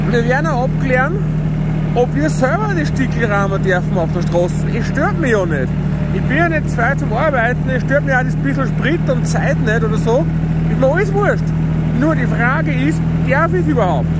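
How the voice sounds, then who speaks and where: Over loud background noise, the speaker keeps a moderate pace with long, frequent pauses, and the sound is dry with no echo. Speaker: tractor driver, channel host. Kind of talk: casual vlog commentary. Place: farm machine. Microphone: phone near.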